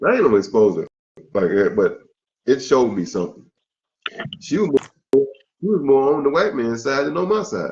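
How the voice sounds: The voice moves at a moderate pace with big pitch swings and a slightly mellow tone. Long pauses come often. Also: man, medium pitch for a man.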